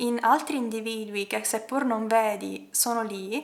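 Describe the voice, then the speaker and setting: A woman uses a normal speaking voice. Her pitch is fairly high and her intonation fairly even. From Palermo, Sicily, Italy. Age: 20s. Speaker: ballet dancer; animal rights activist. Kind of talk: personal story told to camera.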